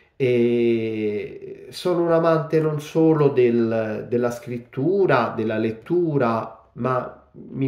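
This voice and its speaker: Audible room echo surrounds a man who talks with ordinary pitch variation and hardly any pauses. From Italy, Rome. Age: 40s. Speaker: novelist. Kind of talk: book presentation monologue. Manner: halting, many fillers. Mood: grateful, warm. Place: home room. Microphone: phone near.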